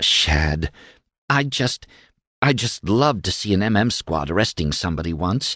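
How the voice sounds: The recording carries a natural reading voice over a quiet background.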